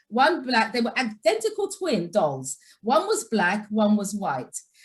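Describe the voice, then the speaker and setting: A woman speaks with an English accent. Her pace is moderate. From England. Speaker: nurse and educator. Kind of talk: webinar presentation.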